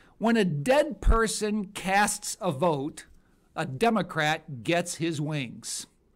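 In a quiet background, a man talks very slowly with lively intonation. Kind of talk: political rhetorical monologue.

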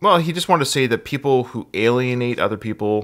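Fairly quick speech from a man in front of a quiet background. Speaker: podcast host. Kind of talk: podcast chat, reading a listener email. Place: home room.

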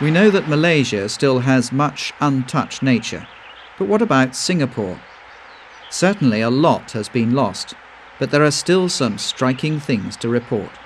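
A man with a medium pitch speaks at a moderate pace in a calm tone with lively intonation. Background noise is noticeable. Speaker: documentary narrator. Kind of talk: nature documentary narration, scripted voiceover. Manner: measured, even-paced, formal; calm and informative, with a storytelling tone.

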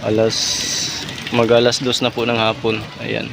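Amid noticeable background noise and audible room echo, a man talks in a monotone, flat voice. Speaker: vlogger. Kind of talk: casual vlog narration.

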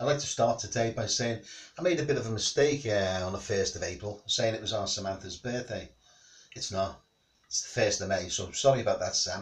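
A somewhat breathy voice at a fairly quick pace, with ordinary pitch variation. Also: man. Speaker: home singer vlogger. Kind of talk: casual vlog chat. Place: home room.

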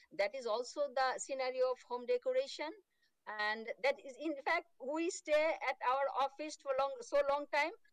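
A high-pitched woman's voice with lively intonation, dry and echo-free, over a quiet background. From Bangladesh. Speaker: horticulture researcher; remote conference presenter. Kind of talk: conference presentation. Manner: fast; halting, many fillers. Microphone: video call.

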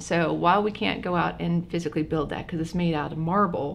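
A woman talks at a fairly quick pace. Her pitch moves in an ordinary way. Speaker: college professor guest. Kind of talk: interview answer. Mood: friendly, laughing at times. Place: meeting room.

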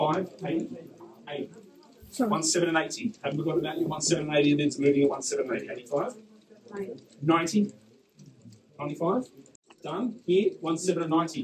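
With an Australian accent, a man with a high pitch speaks very slowly, using lively intonation and long, frequent pauses over noticeable background noise. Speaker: property auctioneer. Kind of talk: live auction calling. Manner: loud.

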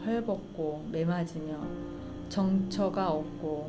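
Over clear background music, a woman with a fairly low pitch talks with ordinary pitch variation. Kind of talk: scripture reading. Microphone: studio mic.

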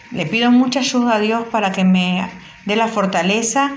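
A woman talks at a moderate speed, her pitch varying in an ordinary way, while noticeable background noise continues. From Buenos Aires, Argentina. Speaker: listener sending audio messages. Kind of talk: recorded voice message.

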